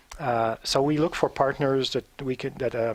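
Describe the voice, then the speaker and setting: On a very clean recording with a silent background, a man speaks with a French Canadian accent. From Quebec, Montreal. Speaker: diplomat. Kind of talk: interview. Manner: halting.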